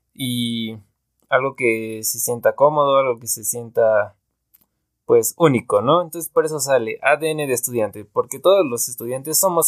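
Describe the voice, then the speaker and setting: At a fairly slow pace, a man speaks at medium pitch with ordinary pitch variation. The recording is very clean, dry and close, with a silent background and no echo. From Mexico (Veracruz). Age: 20s. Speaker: student podcaster. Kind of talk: casual monologue. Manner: hesitant, many fillers.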